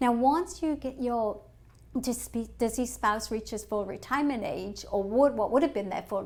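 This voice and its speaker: Here is a woman speaking. She talks with an English accent. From England. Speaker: financial advisor. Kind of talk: webinar presentation. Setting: online webinar.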